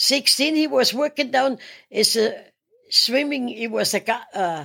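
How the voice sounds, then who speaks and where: Her voice is high-pitched, with a bright, sharp tone and a German accent. The woman speaks at a fairly slow pace with lively intonation. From Austria. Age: 80s+. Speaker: retired gym-goer. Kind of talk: casual interview.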